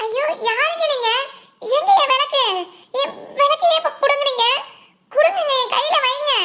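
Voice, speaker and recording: In a cartoonish character voice, a woman speaks at an extremely high pitch. Her pace is moderate and her intonation lively. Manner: plaintive, earnest.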